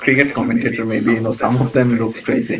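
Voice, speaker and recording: Background noise is noticeable throughout. The talking goes at a fairly quick pace. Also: man. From Asia. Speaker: medical exam tutor. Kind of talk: online lecture.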